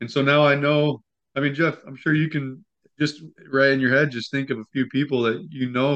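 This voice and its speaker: At a moderate pace, a man with a bright, sharp tone speaks at a fairly high pitch with fairly even intonation. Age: 20s. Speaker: business owner and mindset coach. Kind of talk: interview.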